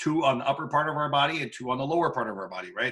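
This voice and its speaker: A man is talking. The tone of his voice is bright and sharp. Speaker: biology teacher. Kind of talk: lecture. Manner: fast; hesitant, many fillers.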